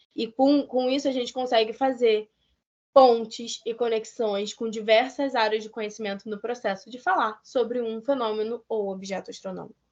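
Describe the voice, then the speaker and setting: Fairly even intonation and a moderate pace shape an unremarkable speaking voice. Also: woman. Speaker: museum science educator. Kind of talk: lecture.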